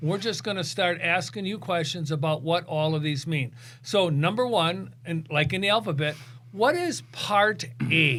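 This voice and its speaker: There is noticeable background noise behind this man. He speaks with lively intonation at a fairly high pitch. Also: moderate pace. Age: 60s. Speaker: podcast host. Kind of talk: podcast interview. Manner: casual.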